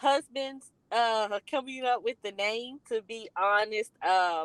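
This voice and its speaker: Speaking very slowly, a woman has a fairly high pitch and a Southern US accent. Her pitch variation is ordinary, and the sound is dry and close, with no echo. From US South, rural north Louisiana. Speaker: college readiness consultant, business founder. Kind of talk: interview. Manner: many fillers (um, uh).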